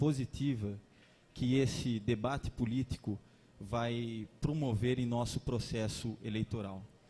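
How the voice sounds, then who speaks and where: Speaking at a fairly slow pace, a man uses a medium pitch, fairly even intonation and a somewhat breathy, dark, mellow tone. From Limeira, São Paulo state, Brazil. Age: 30s. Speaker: lawyer and candidate. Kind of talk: political debate speech. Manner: formal.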